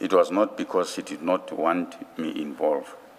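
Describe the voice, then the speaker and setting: Noticeable background noise sits under the recording. Over it, a man talks fairly slowly. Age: 60s. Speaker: witness at a commission of inquiry. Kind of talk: testimony. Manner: formal.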